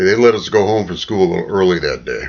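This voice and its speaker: A man speaks with a fairly low pitch. Vocal fry runs through his voice. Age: 60s. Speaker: political vlogger. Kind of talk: opinion monologue. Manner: animated.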